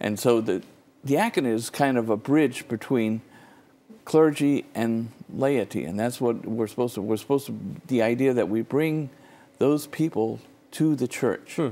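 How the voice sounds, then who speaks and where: A man speaks at a fairly slow pace in a dark, mellow tone, with ordinary pitch variation. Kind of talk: interview answer. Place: studio. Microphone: lapel.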